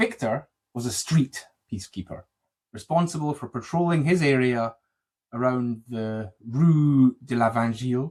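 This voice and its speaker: A man with a Scottish accent speaks at a moderate pace and medium pitch, with ordinary pitch variation and long, frequent pauses. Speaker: podcast host. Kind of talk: true crime podcast narration and chat. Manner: loud, can't whisper.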